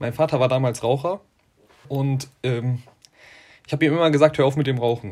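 A man with a fairly high pitch keeps ordinary pitch variation while talking at a fairly quick pace. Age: 20s. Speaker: school coordinator for tutoring initiative. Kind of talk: interview. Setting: video call.

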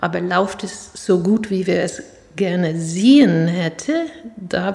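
Over noticeable background noise, a woman speaks with an American accent. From US, New York City. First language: English (speaking German). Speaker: professor and chair of a citizen advisory body. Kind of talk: interview. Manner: halting.

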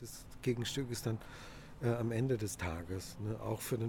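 Speaking at a fairly slow pace, a man talks at a medium pitch. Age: 40s. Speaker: bicycle food courier and works council member. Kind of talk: interview. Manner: hesitant, frequent fillers.

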